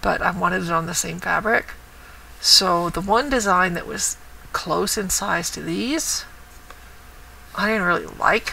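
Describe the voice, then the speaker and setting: The speaker moves at a fairly slow pace, with long, frequent pauses. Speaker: cross stitch vlogger. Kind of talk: casual show-and-tell vlog. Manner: lively.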